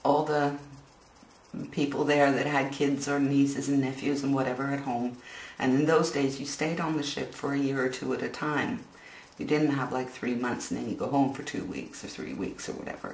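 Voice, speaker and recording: Moderate pace, with noticeable background noise. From Norway, childhood at sea, Canada and Australia. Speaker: vlogger. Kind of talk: casual storytelling vlog. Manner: hesitant, many fillers.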